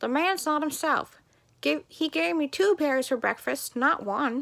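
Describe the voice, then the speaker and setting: A woman puts on a high-pitched character voice and speaks at a moderate pace. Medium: read story. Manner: bossy, chatty.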